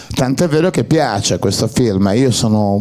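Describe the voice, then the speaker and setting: Lively intonation from a male speaker amid noticeable background noise. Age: 60s. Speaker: actor. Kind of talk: public Q&A talk. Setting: cinema with audience.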